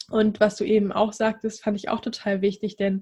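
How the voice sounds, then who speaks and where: Somewhat breathy, the woman talks with a fairly high pitch. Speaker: dating coach for singles. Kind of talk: casual interview.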